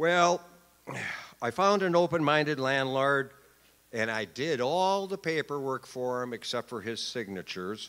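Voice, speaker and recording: Very wide pitch swings mark this fairly slow-paced man with an American accent, captured on a very clean recording with a silent background. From Wisconsin. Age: 60s. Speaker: formerly homeless speaker. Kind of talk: personal testimony speech. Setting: stage with audience.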